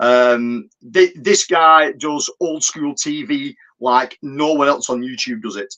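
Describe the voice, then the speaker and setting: At a very slow pace, a man speaks in a bright, sharp tone with a fairly high pitch. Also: ordinary pitch variation. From northern England, Wigan. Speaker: YouTube film channel host. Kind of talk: live stream chat. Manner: halting, many fillers.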